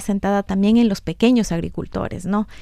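The tone is dark and mellow, captured on a very clean recording with a silent background. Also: woman. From Ecuador, Quito (highlands). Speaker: development cooperation worker. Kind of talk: radio interview. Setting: radio studio. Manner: halting, with repetitions.

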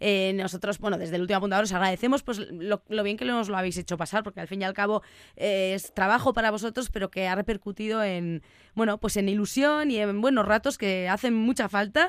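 A woman's ordinary speaking voice at a medium pitch, with ordinary pitch variation and a fairly quick pace, on a very clean recording with a silent background. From Basque Country, Vitoria-Gasteiz. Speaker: radio host. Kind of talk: radio interview; radio show presenting.

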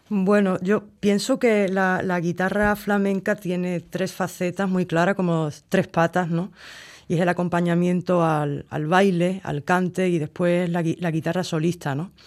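A woman speaks fairly slowly in a fairly low pitch with fairly even intonation, in a plain, everyday voice. The recording is very clean, with a silent background. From Cádiz, Andalusia, Spain. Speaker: flamenco guitarist. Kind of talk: interview.

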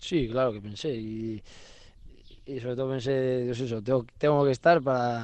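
A man talks with fairly even intonation at a medium pitch, keeping a moderate pace. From Navarre, Spain. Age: 20s. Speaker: professional pelota player. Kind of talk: interview. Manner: halting.

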